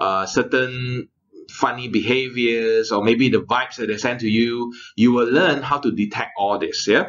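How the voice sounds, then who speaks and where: The words come fairly slowly. The intonation holds fairly even. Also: man. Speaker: course trainer. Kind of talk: lecture. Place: home room. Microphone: studio mic.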